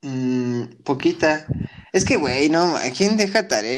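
A man's fairly high voice, an unremarkable speaking voice, with lively intonation. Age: 20s. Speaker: podcast co-host. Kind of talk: casual chat.

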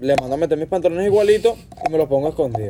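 Talking at a very fast pace, a man with a Venezuelan accent uses a fairly high pitch and ordinary pitch variation. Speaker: podcast guest. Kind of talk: casual chat. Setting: outdoors on a patio.

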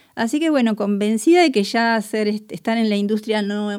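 A woman speaks with lively intonation and a fairly high pitch. Her tone is dark and mellow. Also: very clean recording, silent background. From Buenos Aires, Argentina. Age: 50s. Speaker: chemist and researcher. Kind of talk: interview. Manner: hesitant, many fillers.

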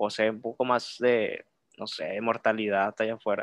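Over a quiet background, a man with an unremarkable speaking voice talks at a moderate pace with ordinary pitch variation, in a dry, close sound with no echo. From Reynosa, Tamaulipas, Mexico. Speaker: podcast guest. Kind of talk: casual chat.

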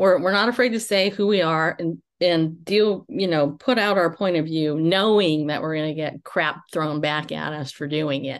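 Against a quiet background, a plain, everyday voice moves at a moderate pace with hardly any pauses and ordinary pitch variation. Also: woman, fairly low pitch for a woman. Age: 50s. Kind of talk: casual chat.

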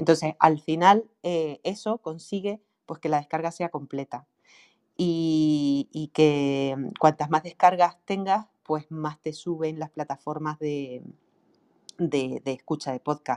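In a strong Canarian accent, the speaker goes at a very slow pace with fairly even intonation, the sound dry and close with no echo over a quiet background. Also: woman, very deep, low pitch for a woman. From Canary Islands. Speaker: online marketing specialist for writers. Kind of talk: casual chat. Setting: live audio room.

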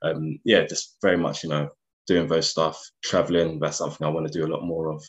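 A man speaks at a fairly quick pace in a very deep, low voice with a London accent, his intonation monotone and flat. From North London, Enfield. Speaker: investment banker. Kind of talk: interview.

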